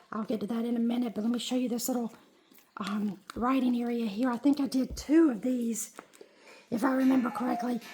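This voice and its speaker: Noticeable background noise sits behind a woman speaking fairly quickly at a high pitch with fairly even intonation. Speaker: junk journal crafter. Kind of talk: casual talk to camera. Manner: hesitant, many filler words.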